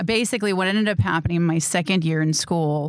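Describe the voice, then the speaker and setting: In a very clean recording with a silent background, a woman with a normal speaking voice speaks at a fairly low pitch with fairly even intonation. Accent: American. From Wisconsin, Milwaukee suburbs. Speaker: filmmaker and actor. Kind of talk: interview. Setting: studio.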